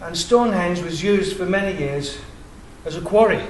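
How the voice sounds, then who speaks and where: A man's voice, with fairly even intonation and a moderate pace, comes through audible room echo and noticeable background noise. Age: 60s. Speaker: independent researcher. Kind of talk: public presentation.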